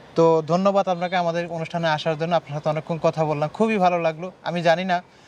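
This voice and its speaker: A high-pitched male voice with a dry, close sound and no echo, plus noticeable background noise. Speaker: interview show host. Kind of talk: interview.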